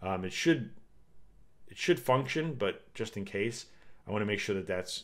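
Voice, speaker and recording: A man speaks in a fairly low pitch with ordinary pitch variation. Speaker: game developer streamer. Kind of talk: live coding stream. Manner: casual, halting with fillers.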